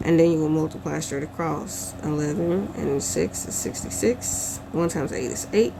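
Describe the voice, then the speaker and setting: The speech moves at a fairly quick pace. Noticeable background noise runs under it. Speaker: teacher. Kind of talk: tutorial.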